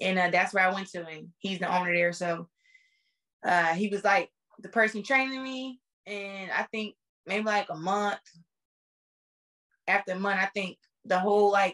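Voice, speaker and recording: Against a quiet background, a woman with a bright, sharp tone talks at a moderate pace with fairly even intonation and long, frequent pauses. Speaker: interview guest. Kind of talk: interview answer. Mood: relaxed, amused. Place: home room. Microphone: video call.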